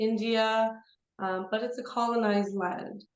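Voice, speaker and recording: Audible room echo surrounds a woman with a Canadian accent and a fairly high pitch. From Canada (Toronto). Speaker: yoga teacher. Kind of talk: interview.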